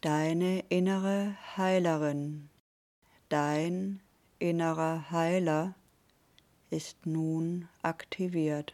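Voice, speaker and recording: A woman speaks very slowly in a calm, soothing tone at a fairly low pitch. Her intonation is monotone and flat, with long, frequent pauses. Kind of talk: guided meditation. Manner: slow, calm, soothing, with long pauses; gentle, warm, intimate.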